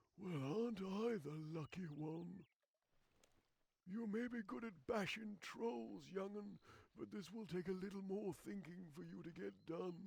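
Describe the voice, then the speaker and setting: In a put-on character voice, a man speaks high-pitched at a moderate pace with ordinary pitch variation. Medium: machinima. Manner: rambling, folksy.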